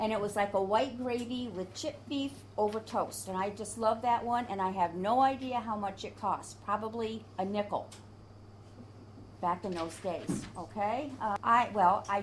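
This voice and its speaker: With an American accent, a woman speaks using vocal fry. Her pitch variation is ordinary. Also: medium pitch for a woman, moderate pace. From upstate New York, Adirondacks. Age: 70s. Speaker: oral history interviewee. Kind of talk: oral history interview. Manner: animated.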